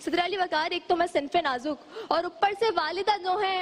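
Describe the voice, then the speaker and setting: This woman speaks in an animated, theatrical tone. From Karachi, Pakistan. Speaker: speech contestant. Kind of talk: humorous speech contest declamation. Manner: animated, theatrical, comedic delivery.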